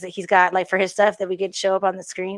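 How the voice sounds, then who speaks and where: A woman is speaking. The background is quiet. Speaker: talk show host. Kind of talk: casual live show chat. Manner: loud; halting, many fillers.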